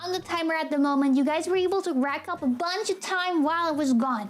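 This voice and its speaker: Animated speech from a woman, with noticeable background noise behind it. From Germany. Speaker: vtuber streamer. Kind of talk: casual live-stream chat. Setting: live stream at home.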